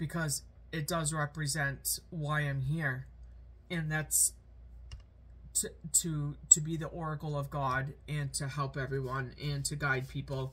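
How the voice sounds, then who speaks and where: A woman's fairly slow speech with long, frequent pauses. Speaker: spiritual content creator. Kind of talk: personal spiritual vlog message. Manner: halting, many fillers.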